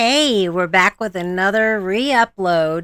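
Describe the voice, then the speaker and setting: A woman speaks at a fairly slow pace with a medium pitch. The sound is dry and close with no echo, and the recording is very clean over a silent background. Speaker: YouTube commentator. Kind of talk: video commentary.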